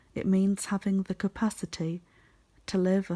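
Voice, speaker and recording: Soft-spoken and whispering, the speaker moves at a moderate pace on a very clean recording with a silent background. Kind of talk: ASMR reading. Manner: soft-spoken, whispering.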